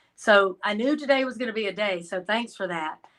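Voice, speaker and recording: With a Georgia accent, a woman talks at a medium pitch. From Georgia, US South. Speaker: crime analyst guest. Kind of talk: casual interview chat.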